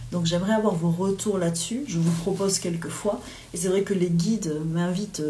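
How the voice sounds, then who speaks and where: Audible room echo surrounds a woman who speaks with fairly even intonation. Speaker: medium and spiritual guide. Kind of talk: live spiritual guidance talk. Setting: livestream from home. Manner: hesitant, many fillers.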